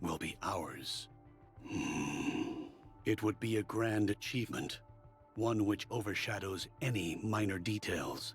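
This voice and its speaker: A man does a put-on character voice at a fairly low pitch, with clear music in the background. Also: fairly slow pace. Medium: video game. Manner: measured, formal.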